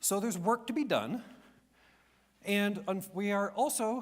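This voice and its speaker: The man speaks with a high pitch. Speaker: government energy official. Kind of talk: conference presentation. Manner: fast.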